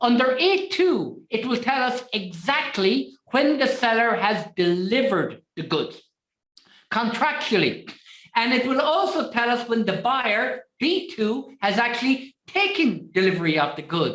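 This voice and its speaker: At a high pitch with very wide pitch swings, a woman talks at a fairly slow pace and very even loudness. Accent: Irish. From Ireland. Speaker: trade finance trainer. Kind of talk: webinar lecture. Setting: online webinar.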